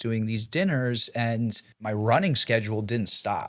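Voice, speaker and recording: An unremarkable speaking voice from a man with a General American accent, fairly even intonation, and a moderate pace. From Boulder, Colorado. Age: 20s. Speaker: real estate broker. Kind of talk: podcast interview answer.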